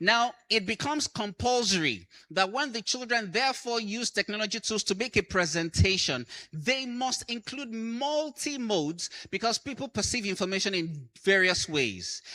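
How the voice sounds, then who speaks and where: On a very clean recording with a silent background, a man with a high pitch projects a raised voice in a bright, sharp tone, using lively intonation at a moderate pace. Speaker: conference speaker, educator. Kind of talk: conference talk. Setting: stage with audience.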